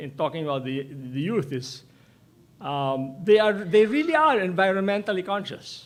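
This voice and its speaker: A man's high-pitched voice moves through very wide pitch swings. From Philippines, Laguna. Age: 70s. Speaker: professor. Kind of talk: speech to an audience. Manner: halting.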